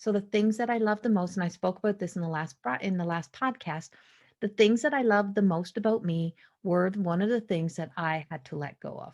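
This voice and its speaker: A woman speaks with a Newfoundland accent at a fairly quick pace. Her pitch varies in an ordinary way against a quiet background. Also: medium pitch for a woman. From Newfoundland, Canada. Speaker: spiritual consultant and psychic medium. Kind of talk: podcast monologue. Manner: small neurological delays in speech; halting, self-correcting.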